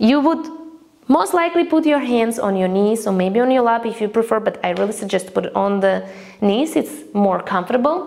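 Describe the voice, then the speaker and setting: With noticeable background noise behind her, a woman talks at a fairly quick pace in a fairly high pitch, her tone calm and her intonation lively. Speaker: breathwork teacher. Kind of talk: guided breathing practice instruction. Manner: calm, instructive.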